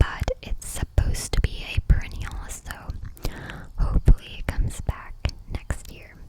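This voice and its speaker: A woman whispers at a moderate pace, with big swings in loudness and long, frequent pauses, over noticeable background noise. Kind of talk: ASMR whispered garden tour. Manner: whispered, soft-spoken.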